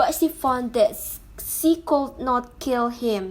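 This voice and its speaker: A woman with a non-native accent speaks at a very slow pace. Her voice is high, with lively intonation. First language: not English. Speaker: YouTuber reading stories. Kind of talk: reading aloud. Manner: halting.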